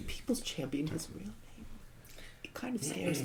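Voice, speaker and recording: At a moderate pace, the speech runs over noticeable background noise. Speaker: tabletop role-play player.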